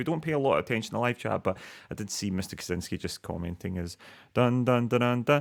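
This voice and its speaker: Here a man speaks with a Glaswegian accent. His pitch is medium. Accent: Glaswegian Scottish. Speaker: podcast co-host. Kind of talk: casual chat. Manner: animated.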